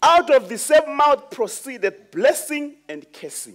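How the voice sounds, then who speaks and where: A man talks very slowly. Nothing much is heard behind him. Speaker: preacher. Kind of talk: sermon. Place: church.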